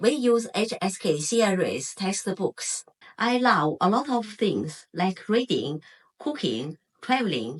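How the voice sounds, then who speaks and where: In a Chinese accent, a woman at a medium pitch speaks at a very slow pace with very wide pitch swings. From China, Hebei. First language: Mandarin Chinese. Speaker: Chinese language teacher. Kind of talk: self-introduction video.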